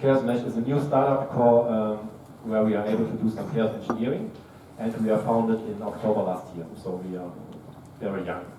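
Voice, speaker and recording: Speaking at a fairly quick pace with a German accent, a man at a medium pitch keeps his intonation fairly even, with noticeable background noise and audible room echo. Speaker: tech startup co-founder, conference speaker. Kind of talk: tech talk. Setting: stage with audience.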